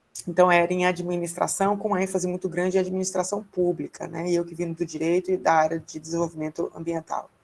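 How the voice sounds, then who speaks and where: A woman with a fairly low pitch talks at a fairly quick pace in a monotone, flat way. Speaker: researcher and invited speaker. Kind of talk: seminar talk about career path. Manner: fast.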